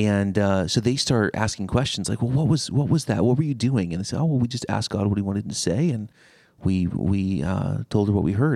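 With an American accent and a dark, mellow tone, a man speaks at a fairly low pitch, his intonation lively and his pace fairly quick. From US West Coast, Seattle. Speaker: pastor. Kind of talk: casual chat.

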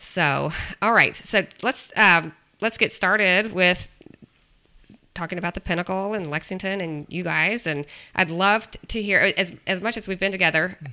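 On a very clean recording with a silent background, a woman with a bright, sharp tone speaks at medium pitch and a moderate pace, her intonation fairly even. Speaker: podcast host and realtor. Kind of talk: casual chat.

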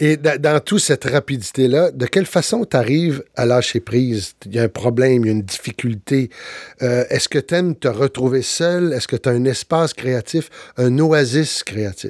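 A man with an unremarkable speaking voice talks at a medium pitch and moderate pace with ordinary pitch variation, the sound dry and close with no echo. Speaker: actor, speaker and podcast host. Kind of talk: interview podcast. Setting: studio.

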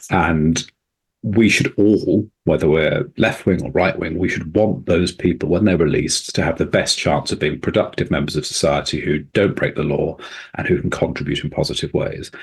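A man with a very deep, low voice speaks at a moderate pace, sounding somewhat breathy. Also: ordinary pitch variation. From England. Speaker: prison reform campaigner, former prisoner. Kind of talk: radio interview.

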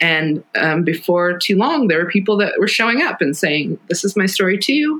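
Fairly low in pitch, a woman with a plain, everyday voice speaks at a fairly quick pace with lively intonation. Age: 40s. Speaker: author. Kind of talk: interview conversation. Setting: at home kitchen table.

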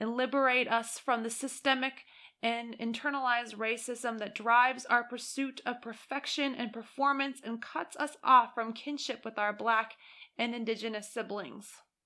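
Very clean recording with a silent background of a woman at fairly high pitch, her tone warm yet bright and sharp, her intonation monotone and flat. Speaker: narrator reading a published article. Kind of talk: fervent spoken prayer read aloud. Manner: solemn, earnest, reverent and slow-paced; warm, heartfelt, pleading tone.

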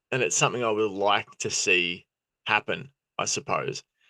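A man speaks with an Australian accent at a moderate pace. The background is quiet, and the sound is dry and close with no echo. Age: 30s. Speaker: football podcast host. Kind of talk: casual chat. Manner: halting.

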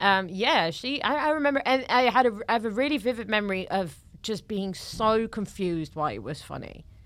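A woman's fairly high voice, fairly quick with lively intonation and hardly any pauses, in a very clean recording with a silent background. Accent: Dutch. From Netherlands. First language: Dutch. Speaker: comedian. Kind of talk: casual chat. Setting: studio.

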